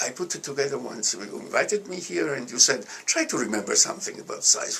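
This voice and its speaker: A man with an Italian accent at a moderate pace, with noticeable background noise. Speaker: alumnus and economist. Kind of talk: interview. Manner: halting.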